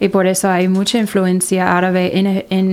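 A woman with an English accent talks at a moderate pace and a medium pitch. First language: English (speaking Spanish). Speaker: college outreach director. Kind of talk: interview. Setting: studio.

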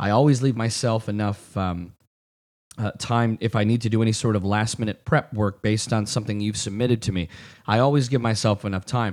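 In a very clean recording with a silent background, a man with an American accent talks at a fairly quick pace and a fairly low pitch. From Michigan, South Lyon area. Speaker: wedding and event DJ. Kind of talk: solo podcast monologue.

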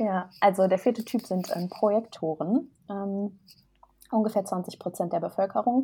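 A very clean recording with a silent background captures a dark, mellow tone that is somewhat breathy. The pace is fairly slow, with ordinary pitch variation. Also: woman, medium pitch for a woman. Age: 20s. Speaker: human design coach. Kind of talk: interview.

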